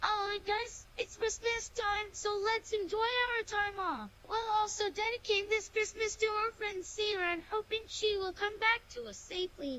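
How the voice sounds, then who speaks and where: A squeaky, cartoonish character voice at an extremely high pitch, moderate pace and hardly any pauses, over clear background noise. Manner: upbeat, easygoing.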